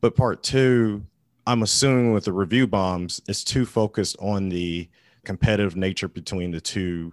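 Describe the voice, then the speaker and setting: Speaking at a fairly slow pace in a normal speaking voice, a man with a fairly low pitch and ordinary pitch variation is heard in a dry, close sound with no echo and a quiet background. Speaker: podcast co-host. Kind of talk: casual chat.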